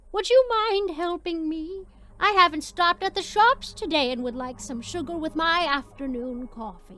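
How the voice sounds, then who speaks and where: A woman's put-on character voice at an extremely high pitch, with very wide pitch swings and a moderate pace. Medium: audio drama. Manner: sweet, grandmotherly.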